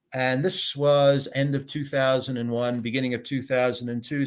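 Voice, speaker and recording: In a very clean recording with a silent background, a man with an American accent talks at a moderate pace in a medium pitch, his intonation fairly even. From United States. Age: 60s. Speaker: business consultant and entrepreneur. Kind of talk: interview, casual conversation. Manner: hesitant, many filler words.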